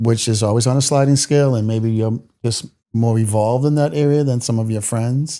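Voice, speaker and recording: The voice carries a dark, mellow tone with fairly even intonation. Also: man, medium pitch for a man, fairly quick pace. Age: 60s. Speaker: guest. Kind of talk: casual chat.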